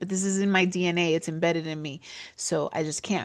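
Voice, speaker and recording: Someone with a New York accent speaks at a very fast pace in an animated tone. The pitch variation is ordinary and the background is quiet. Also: woman. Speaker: business podcast host. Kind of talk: casual commentary monologue. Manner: halting, filler words.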